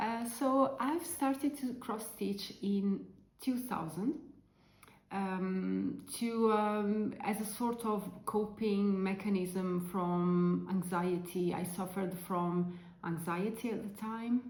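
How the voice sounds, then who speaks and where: In an Italian accent, a woman talks at a very slow pace with ordinary pitch variation, and audible room echo can be heard. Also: medium pitch for a woman. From Italy. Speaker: crafting vlogger. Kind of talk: casual chat. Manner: halting, many fillers.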